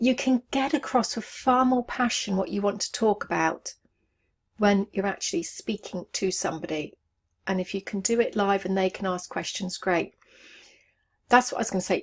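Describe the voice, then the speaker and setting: A somewhat breathy woman's voice of medium pitch, ordinary pitch variation and moderate pace, in a very clean recording with a silent background. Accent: English. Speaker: online business coach. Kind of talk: video tutorial to camera.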